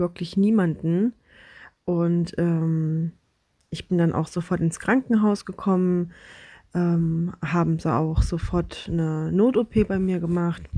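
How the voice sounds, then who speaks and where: Very slowly, a woman speaks in a fairly low pitch with a dark, mellow tone and fairly even intonation, on a very clean recording with a silent background. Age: 20s. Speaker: patient sharing her story. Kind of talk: testimony.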